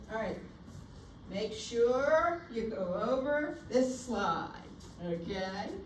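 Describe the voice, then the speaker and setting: In a room with audible echo and noticeable background noise, a woman with a fairly high pitch and lively intonation speaks at a very slow pace, leaving long, frequent pauses. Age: 60s. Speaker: nursing instructor. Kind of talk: lecture.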